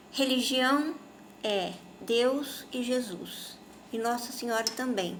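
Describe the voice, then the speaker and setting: A woman speaks at a high pitch with ordinary pitch variation, at a very slow pace. Long, frequent pauses break up her speech, and room echo is audible. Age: 60s. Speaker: spiritist speaker. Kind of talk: informal religious talk to camera.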